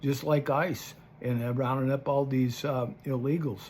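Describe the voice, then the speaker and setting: A man speaks in a somewhat breathy voice. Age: 70s. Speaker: political commentator vlogger. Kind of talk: casual monologue. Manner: halting.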